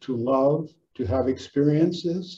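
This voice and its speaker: A somewhat breathy voice speaks at a very slow pace with ordinary pitch variation. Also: man. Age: 70s. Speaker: psychotherapist and author. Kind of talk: casual chat.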